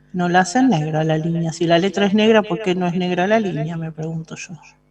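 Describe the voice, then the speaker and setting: With a plain, everyday voice and ordinary pitch variation, a woman talks at a moderate pace. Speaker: math teacher. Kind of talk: lecture.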